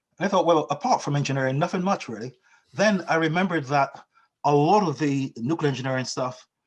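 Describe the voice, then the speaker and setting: With a Barbadian accent, a man speaks at a fairly quick pace, fairly high-pitched for a man, with ordinary pitch variation. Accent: Barbadian lilt, retained. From Barbados. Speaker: financial technology company founder. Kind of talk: interview. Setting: video call. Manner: halting, many repetitions.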